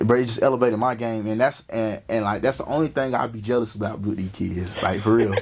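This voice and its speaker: Noticeable background noise runs under a man speaking at a very fast pace with hardly any pauses. His pitch is medium, and his intonation is fairly even. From North Carolina (Wingate). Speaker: podcast host. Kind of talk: casual interview chat.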